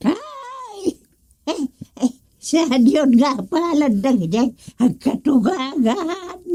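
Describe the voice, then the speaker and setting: Loud and high-pitched, a put-on character voice moves at a very slow pace, broken by long, frequent pauses. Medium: audio drama. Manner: loud, exclamatory.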